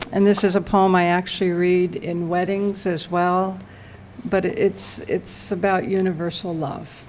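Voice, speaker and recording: A woman talks at a fairly slow pace and medium pitch. Her intonation is monotone and flat. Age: 60s. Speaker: poet. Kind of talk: poetry reading. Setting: library reading with audience and microphone.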